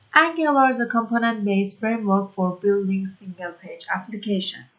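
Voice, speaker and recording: A woman with a non-native accent talks at a medium pitch with ordinary pitch variation. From Iran. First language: Persian. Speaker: programming tutor. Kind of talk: tutorial. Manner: halting, many fillers.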